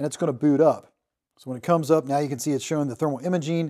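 A man speaks at a very fast pace with fairly even intonation. The background is quiet. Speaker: tool reviewer. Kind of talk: product demo tutorial. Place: workshop.

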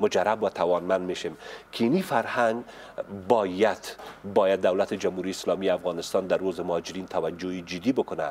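Over light background noise, a man with a very deep, low pitch talks at a fairly quick pace with fairly even intonation. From Afghanistan. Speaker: media affairs expert; interview guest. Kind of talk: interview. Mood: earnest, engaged. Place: studio. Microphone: lapel.

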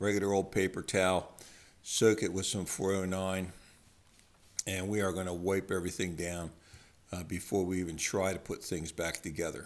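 A man speaks at a moderate pace in a very deep, low voice. His intonation is flat and monotone. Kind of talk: tutorial. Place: workshop. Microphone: phone near.

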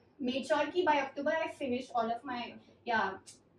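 With audible room echo and light background noise, a woman speaks at a fairly quick pace in a high pitch with ordinary pitch variation. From India. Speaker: education YouTuber. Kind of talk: interview. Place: home room.

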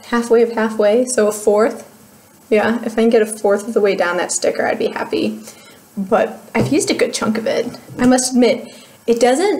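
Speaking in an American accent, a woman keeps a moderate speed. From US Midwest, Cleveland, Ohio. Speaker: beauty YouTuber. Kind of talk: casual vlog review. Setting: home video recording. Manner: animated, laughs often. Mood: cheerful, relaxed. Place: home room. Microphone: webcam.

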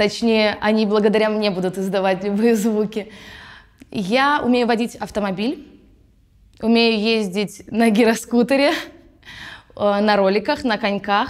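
This woman talks at a fairly slow pace with long, frequent pauses, her fairly high pitch and fairly even intonation paired with very even loudness over a quiet background. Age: 20s. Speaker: musical theatre actress. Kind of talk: actor self-presentation. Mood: cheerful, playful. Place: studio. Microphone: lapel.

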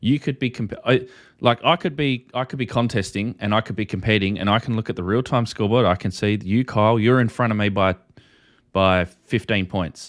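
Here a man with a fairly low pitch speaks at a fairly quick pace with ordinary pitch variation. The background is quiet. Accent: Australian. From Australia. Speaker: ham radio YouTube host. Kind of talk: casual livestream discussion. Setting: video call. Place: home room. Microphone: studio mic.

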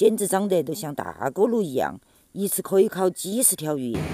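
A woman speaks at medium pitch with a dark, mellow tone and vocal fry. Her intonation is lively and her pace moderate. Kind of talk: humorous food video narration.

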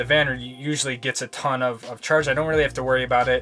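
With faint music in the background, a man talks at a fairly quick pace with fairly even intonation. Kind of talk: casual vlog tour explanation. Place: car. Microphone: phone near.

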